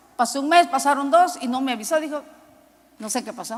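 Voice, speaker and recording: Against noticeable background noise, a woman speaks in a high voice. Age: 60s. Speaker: preacher. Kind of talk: sermon.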